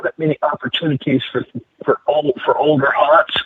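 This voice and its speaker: A man with fairly high pitch at a fairly quick pace. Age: 60s. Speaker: metal detecting hobbyist. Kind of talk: podcast interview. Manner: halting, repeats words.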